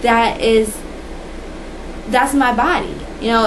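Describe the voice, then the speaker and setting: Amid noticeable background noise and audible room echo, a woman with a fairly high pitch speaks at a fairly slow pace. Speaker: vlogger. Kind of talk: personal testimony. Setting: indoors, dim room. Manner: soft-spoken.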